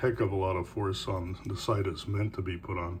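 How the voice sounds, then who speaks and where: A man talks in a relaxed tone at a moderate pace. His voice is somewhat breathy and fairly low in pitch. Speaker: knifemaker and carver. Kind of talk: casual show-and-tell talk. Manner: relaxed, with fillers.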